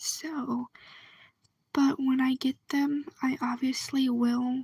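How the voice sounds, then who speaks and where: A soft-spoken voice at a very slow pace. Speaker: video blogger. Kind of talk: casual chat.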